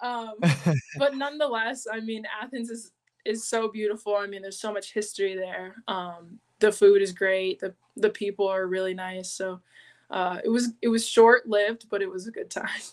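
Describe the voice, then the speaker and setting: With an American accent, a woman speaks at a moderate pace in a fairly high voice, with ordinary pitch variation and big swings in loudness. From US West Coast, San Diego, California. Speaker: professional basketball player. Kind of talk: interview.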